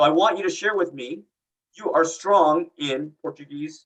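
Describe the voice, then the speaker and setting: A man with a high pitch speaks in lively intonation. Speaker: real estate broker manager and instructor. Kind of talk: online course lecture. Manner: fast.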